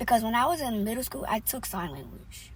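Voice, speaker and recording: A woman with a fairly high pitch and a fairly quick pace. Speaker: vlogger. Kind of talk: casual vlog talk. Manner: loud; hesitant, many fillers.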